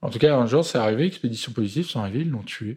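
Recorded very cleanly with a silent background, a man speaks in a medium pitch with lively intonation. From France, Seine-Saint-Denis (Paris suburbs). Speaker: film director. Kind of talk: interview. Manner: halting.

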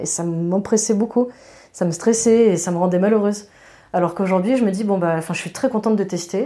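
On a very clean recording with a silent background, a woman at medium pitch speaks at a fairly quick pace in a dark, mellow tone, with ordinary pitch variation. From France, Grenoble. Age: 30s. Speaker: cyanotype artist. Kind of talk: casual interview. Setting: at her home studio. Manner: hesitant, many fillers.

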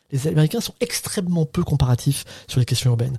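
At a very fast pace, a man with a fairly high pitch, a dark, mellow tone and lively intonation sounds somewhat breathy, in a dry, close recording with no echo. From Brittany, France (Saint-Brieuc). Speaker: professor and researcher. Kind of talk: interview.

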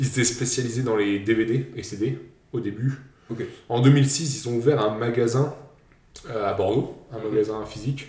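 A man's medium-pitched voice with long, frequent pauses and audible room echo. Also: ordinary pitch variation, moderate pace. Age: 20s. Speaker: podcast host running a quiz. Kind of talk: casual quiz chat.

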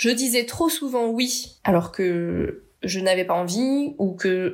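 A woman's voice with lively intonation. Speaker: podcast host, communication trainer. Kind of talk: solo podcast monologue.

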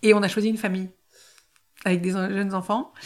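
Speech at a very fast pace comes through on a very clean recording with a silent background. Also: woman. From Ardennes, France. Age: 40s. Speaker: genealogy trainee. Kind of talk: personal testimony interview. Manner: hesitant, many fillers.

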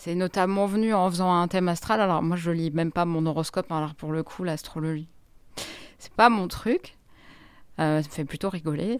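Over a very clean recording with a silent background, the speaker keeps a moderate pace and fairly even intonation, stopping for long, frequent pauses. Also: woman, fairly low pitch for a woman. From Grenoble, France. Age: 40s. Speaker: journalist. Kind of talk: interview. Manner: halting.

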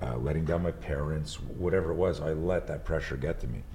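Very deep and low, a man's voice shows vocal fry against audible room echo. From Montreal, Quebec. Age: 60s. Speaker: martial arts instructor and entrepreneur. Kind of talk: casual chat.

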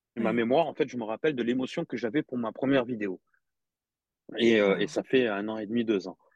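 A man at medium pitch talks at a very fast pace with ordinary pitch variation. Long, frequent pauses break up his speech. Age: 40s. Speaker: dry cleaner manager and social media motivator. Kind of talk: casual interview chat.

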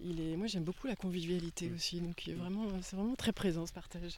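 The tone is dark and mellow. The pace is moderate and the intonation fairly even. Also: woman. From western France, Anjou (Angers area). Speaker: forest bathing guide. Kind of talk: casual interview. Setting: outdoors, walking in a park. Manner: halting, many repetitions and fillers.

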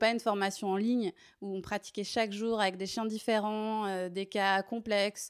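A woman speaks at a moderate pace in a medium pitch, her intonation flat and monotone. The recording is very clean, with a silent background. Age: 30s. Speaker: dog trainer and dog walker. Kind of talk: interview.

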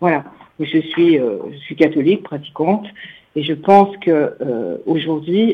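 Lively intonation marks this woman's speech at a fairly low pitch. She speaks at a very slow pace. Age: 60s. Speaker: radio listener caller. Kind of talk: call-in comment. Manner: hesitant, many fillers.

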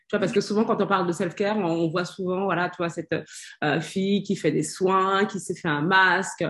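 Against a quiet background, a woman talks at a moderate pace. Her voice is somewhat breathy and medium in pitch. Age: 40s. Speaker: self-care coach. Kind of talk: casual chat. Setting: live stream.

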